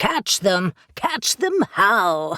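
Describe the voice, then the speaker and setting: A woman performs a put-on character voice. The recording is very clean, with a silent background. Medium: read story. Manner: dry, sarcastic.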